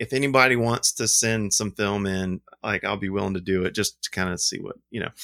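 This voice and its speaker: The voice carries an Alabama accent and a bright, sharp tone at a fairly quick pace. The sound is dry and close, with no echo. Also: man, fairly low pitch for a man. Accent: Southern US (Alabama). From US South, Alabama. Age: 40s. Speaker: film lab owner and wedding photographer. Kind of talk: casual chat. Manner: rambling, animated.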